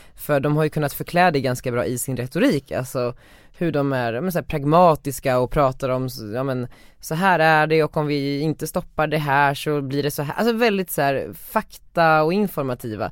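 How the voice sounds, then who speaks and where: The recording is very clean with a silent background, and the words arrive at a moderate pace. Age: 20s. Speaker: podcast co-host. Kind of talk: casual chat.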